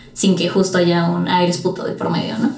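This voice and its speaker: A woman talks at a very fast pace, with audible room echo and noticeable background noise. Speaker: podcast host. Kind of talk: casual chat.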